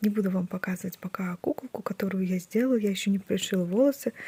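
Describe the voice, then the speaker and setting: A quiet woman of medium pitch speaks at a fairly quick pace, with a dry, close sound and no echo. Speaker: crochet vlogger. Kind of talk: casual vlog. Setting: at home, early morning. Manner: quiet, hushed.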